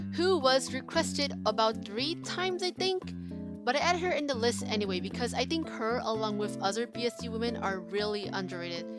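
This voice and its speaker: A woman at a fairly quick pace, with music in the background. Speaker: digital artist. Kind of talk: casual voiceover for a drawing video. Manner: chatty, talkative.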